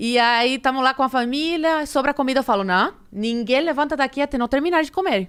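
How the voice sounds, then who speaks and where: Speaking at a fairly quick pace, a woman with a Cuban accent has a high pitch and ordinary pitch variation. Her loudness stays very even in a very clean recording with a silent background. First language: Spanish (speaking Portuguese). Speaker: podcast guest. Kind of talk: casual chat.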